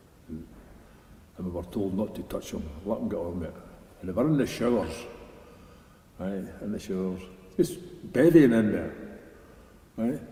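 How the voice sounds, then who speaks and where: A man with a Scottish accent, fairly low pitch, dark and mellow tone, somewhat breathy, lively intonation, moderate pace, and long, frequent pauses. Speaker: army veteran. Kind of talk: interview answer. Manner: casual, anecdotal.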